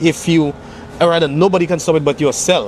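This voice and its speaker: A man with a fairly high pitch talks at a moderate speed, his pitch varying in an ordinary way, with noticeable background noise present. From Saint Lucia. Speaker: singer-songwriter. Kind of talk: interview answer.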